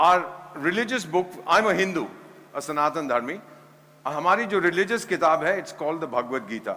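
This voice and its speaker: Speaking with an Indian accent, a man uses a high pitch and ordinary pitch variation. His pace is fairly quick. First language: Hindi. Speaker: former ambassador and conference speaker. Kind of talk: conference speech.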